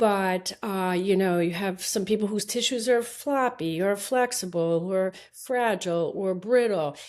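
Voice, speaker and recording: A woman with a medium pitch and ordinary pitch variation speaks at a fairly slow pace with hardly any pauses. The recording is very clean, with a silent background. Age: 60s. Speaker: eye surgeon. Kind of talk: interview. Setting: podcast interview. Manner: halting.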